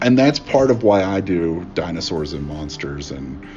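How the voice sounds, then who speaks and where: Lively in intonation, a man with an American accent speaks over music in the background. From Appalachia, West Virginia. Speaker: artist and politics professor. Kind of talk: interview answer. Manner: casual, hesitant.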